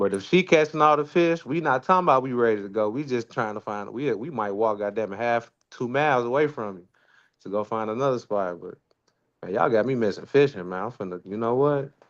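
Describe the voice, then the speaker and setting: Speaking at a fairly quick pace with a Memphis accent, a man at medium pitch uses lively intonation and big swings in loudness. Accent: Southern US, Memphis. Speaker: live stream co-host. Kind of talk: casual chat. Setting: live stream.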